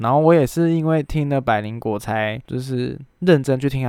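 Recorded very cleanly against a silent background, a man at medium pitch speaks with ordinary pitch variation in a dry, close sound with no echo. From Taiwan. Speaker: podcast host and illustrator. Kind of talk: casual solo chat. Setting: recording alone at home.

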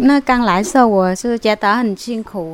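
In a very clean recording with a silent background, a woman with a Vietnamese accent speaks at a medium pitch with ordinary pitch variation. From southern Vietnam (An Giang). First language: Vietnamese (speaking Chinese). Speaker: immigrant spouse. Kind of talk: interview.

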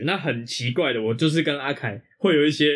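A man speaks at a fairly quick pace in an unremarkable speaking voice. His pitch sits fairly high and his intonation is lively. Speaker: podcast co-host. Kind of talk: casual chat.

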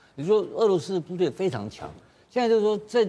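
The man's voice has a dark, mellow tone. He talks very fast. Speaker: political commentator. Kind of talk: TV talk show panel discussion.

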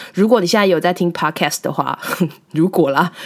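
Speaking at a fairly quick pace and a medium pitch, a woman has an unremarkable speaking voice. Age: 30s. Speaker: podcast host. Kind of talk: casual monologue.

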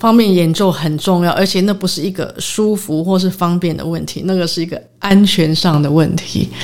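At a moderate pace with hardly any pauses, a woman speaks at a fairly low pitch with fairly even intonation. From Taiwan, raised largely in the US. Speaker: concert pianist. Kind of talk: interview. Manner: halting, many fillers and English words.

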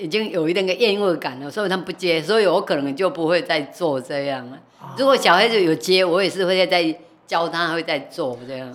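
A woman with a fairly low voice speaks at a fairly quick pace over noticeable background noise. Her intonation is lively and her loudness rises and falls sharply. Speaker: retired night market food vendor. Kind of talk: casual chat.

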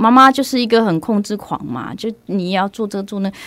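Speaking at a fairly quick pace, a woman keeps a medium pitch. Her pitch variation is ordinary. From Myanmar, moved to Taiwan at 6. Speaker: actress and performing artist. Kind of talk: interview conversation. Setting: studio. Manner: clear, standard pronunciation.

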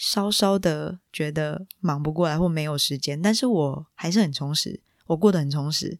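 Someone with a Taiwanese accent speaks with hardly any pauses. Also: moderate pace. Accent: Taiwanese Mandarin. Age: 20s. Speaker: podcast host. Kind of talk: personal storytelling monologue.

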